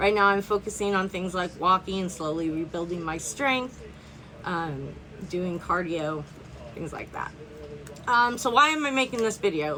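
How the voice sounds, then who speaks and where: The speaker keeps a moderate pace. The intonation is lively. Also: woman. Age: 50s. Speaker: vlogger on health and longevity. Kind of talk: casual personal vlog introduction. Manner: casual, hesitant with fillers.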